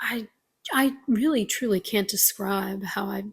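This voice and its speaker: This woman has a fairly high pitch, an American accent, a somewhat breathy quality and ordinary pitch variation. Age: 20s. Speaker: vlogger. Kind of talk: casual vlog monologue. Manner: halting.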